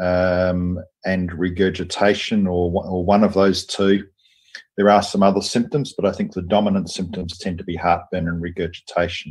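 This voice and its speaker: With an Australian accent, a man speaks in a very deep, low pitch at a moderate pace. His intonation is flat and monotone against a quiet background. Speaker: surgeon and professor; professor. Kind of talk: lecture; interview. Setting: video call. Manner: hesitant, many fillers. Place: office. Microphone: video call.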